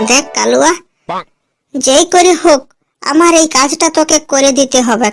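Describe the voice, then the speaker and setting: A cartoonish character voice speaks at a fairly slow pace with music in the background. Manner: colloquial, rustic.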